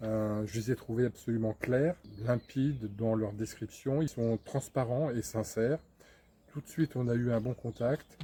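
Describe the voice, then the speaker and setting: A man speaks at a fairly slow pace in a somewhat breathy voice with a dark, mellow tone. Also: medium pitch for a man, fairly even intonation. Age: 60s. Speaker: customer giving a testimonial. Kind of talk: testimonial interview. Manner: hesitant, many fillers.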